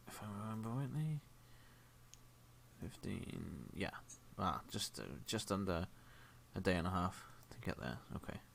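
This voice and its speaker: A man's very deep, low voice carries vocal fry and a bright, sharp tone. His pitch swings very wide. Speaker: game master. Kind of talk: tabletop role-play session. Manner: mumbling.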